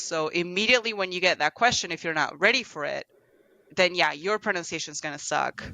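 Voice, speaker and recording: A woman with a slight Argentine accent talks in a fairly low pitch with ordinary pitch variation. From Argentina. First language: Spanish. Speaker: translator. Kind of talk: podcast interview. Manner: halting, many repetitions and fillers.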